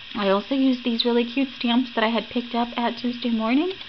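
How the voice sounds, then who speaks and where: Someone talks at a fairly quick pace in an American accent. Noticeable background noise runs underneath. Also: woman. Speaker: crafting YouTuber. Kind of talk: craft tutorial. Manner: casual, chatty.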